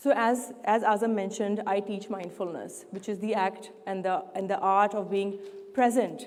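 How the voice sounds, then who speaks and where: Talking at a moderate pace with fairly even intonation, a woman with medium pitch is heard over noticeable background noise. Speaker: mindfulness teacher. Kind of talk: public speech.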